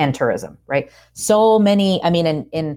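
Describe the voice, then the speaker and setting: A woman with an American accent talks with lively intonation. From US South. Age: 30s. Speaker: cookbook author and food professor. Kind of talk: casual interview. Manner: halting, many fillers and repeats.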